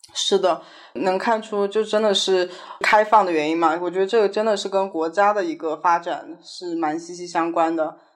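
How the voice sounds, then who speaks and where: Here is a woman with an unremarkable speaking voice at medium pitch. Her pitch variation is ordinary and her pace moderate. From Sichuan, China. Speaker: chef and restaurant manager. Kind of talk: casual interview chat.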